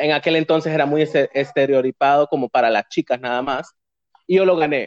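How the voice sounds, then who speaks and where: A man has a normal speaking voice with a fairly high pitch, ordinary pitch variation and a moderate pace. The sound is dry and close, with no echo. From Honduras, San Pedro Sula. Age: 30s. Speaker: community figure. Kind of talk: casual interview.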